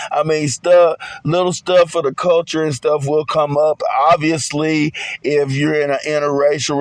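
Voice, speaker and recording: Monotone, flat speech at a fairly slow pace in a Southern US accent, dry and close with no echo, over noticeable background noise. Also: man. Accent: Southern country. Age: 40s. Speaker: podcast host. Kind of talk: podcast monologue. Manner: casual.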